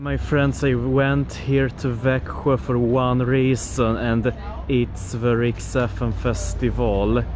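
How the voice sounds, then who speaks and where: Speech comes at a very slow pace, with a dry sound with no echo and light background noise. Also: man. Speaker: travel vlogger. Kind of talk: casual vlog chat. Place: street. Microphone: phone near.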